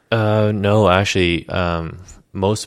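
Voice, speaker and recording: A man's voice with fairly even intonation on a very clean recording with a silent background. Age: 30s. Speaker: chiropractor. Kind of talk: casual interview chat. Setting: in person at his clinic.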